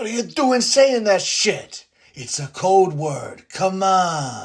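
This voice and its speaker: A cartoonish character voice at a middle pitch crawls along at a very slow pace. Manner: deadpan, dismissive.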